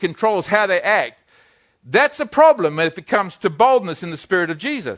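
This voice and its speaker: With a New Zealand accent and very wide pitch swings, a man is heard against a quiet background in a dry, close sound with no echo. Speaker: pastor. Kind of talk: sermon. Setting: church. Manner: halting.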